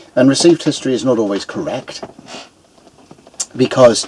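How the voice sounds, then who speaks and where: Over noticeable background noise, a man speaks at a fairly quick pace with a British accent. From Britain. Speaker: YouTuber, amateur historian. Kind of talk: casual monologue. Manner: halting, many fillers.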